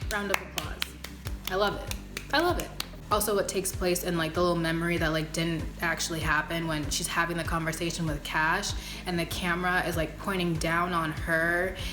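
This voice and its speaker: A woman talks at a fairly quick pace in a fairly low, animated voice. Music plays in the background, and room echo is audible. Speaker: YouTuber reviewing TV episodes. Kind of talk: casual vlog review.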